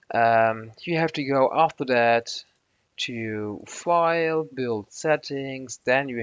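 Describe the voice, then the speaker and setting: Against a quiet background, a man with a non-native accent speaks at a very slow pace. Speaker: software tutorial maker. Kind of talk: screen-recorded tutorial. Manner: halting, many fillers and restarts.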